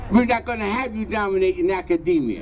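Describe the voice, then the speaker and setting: Speaking fairly quickly in an American accent, a man is heard against noticeable background noise. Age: 90s. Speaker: historian and curriculum author. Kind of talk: speech at a rally. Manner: repetitive, stammering.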